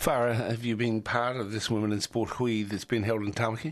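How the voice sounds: This man speaks at a fairly quick pace, his pitch fairly low with little pitch movement.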